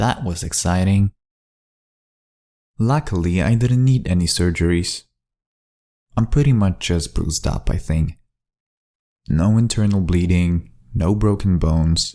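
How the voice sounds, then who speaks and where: The speaker has a non-native accent and a dark, mellow tone. Intonation is lively, and the pace is moderate. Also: man. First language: not English. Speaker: amateur fiction writer and storyteller. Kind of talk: first-person journal-style story reading. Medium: read story.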